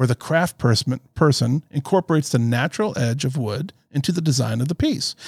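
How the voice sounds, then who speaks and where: A man's fairly high, somewhat breathy voice with an American accent, dry and close with no echo. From Florida. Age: 50s. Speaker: podcast co-host and logistics business owner. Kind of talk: scripted introduction; interview. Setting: video call.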